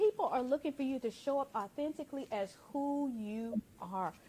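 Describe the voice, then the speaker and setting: Her voice high-pitched and her intonation lively, a woman speaks at a moderate pace. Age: 50s. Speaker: talk show host. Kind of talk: motivational talk show.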